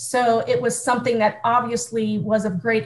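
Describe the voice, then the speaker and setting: In an American accent, a woman speaks at a moderate pace with a fairly high pitch. Her voice is somewhat breathy. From US Midwest, small-town Ohio. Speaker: youth organization staff leader. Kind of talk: interview.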